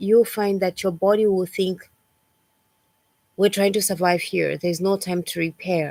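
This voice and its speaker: A woman's normal speaking voice at a fairly slow pace, dry and close with no echo. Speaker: lifestyle coach. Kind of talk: livestream talk. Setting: livestream.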